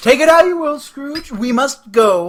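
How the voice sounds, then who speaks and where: This is a put-on character voice pitched high. It moves at a fairly slow pace. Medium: audio drama. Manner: solemn, commanding.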